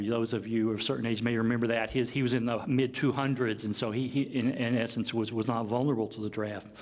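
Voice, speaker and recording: A man with an American accent speaks at a very fast pace. His pitch is medium, and room echo is audible. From US South, Kentucky (Paducah). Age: 50s. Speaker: professor. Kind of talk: lecture. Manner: halting.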